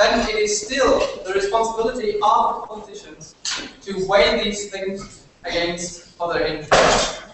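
A man with a German accent speaks at a fairly slow pace. Loud background noise and audible room echo fill the recording. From Germany. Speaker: university debater. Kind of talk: competitive debate speech. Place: classroom. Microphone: camera far.

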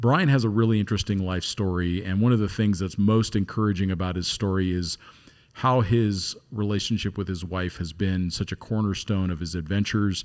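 A man's fairly low, plain, everyday voice at a fairly quick pace, with fairly even intonation and a quiet background. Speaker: podcast host. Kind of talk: podcast introduction. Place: studio. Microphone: studio mic.

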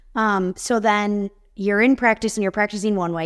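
A woman with an American accent speaks in a plain, everyday voice at a medium pitch and moderate pace, with fairly even intonation over a quiet background. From Chicago suburbs. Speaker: podcast host. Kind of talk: interview. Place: home room. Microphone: webcam.

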